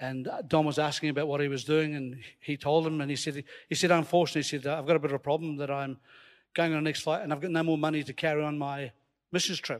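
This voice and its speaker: A man with a slight Scottish accent talks in an animated tone at a very fast pace. His pitch is fairly high, and the recording is very clean with a silent background. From Scotland. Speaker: preacher. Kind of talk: sermon. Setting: church with live audience. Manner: animated, humorous.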